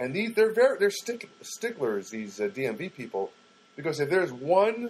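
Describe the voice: Man with a slightly husky edge, lively intonation and a moderate pace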